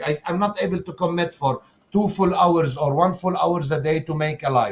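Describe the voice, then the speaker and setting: Speaking at a fairly slow pace, a man with a high pitch shows ordinary pitch variation. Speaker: online marketer and coach. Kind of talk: interview on a live stream. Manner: halting, with repetitions and restarts.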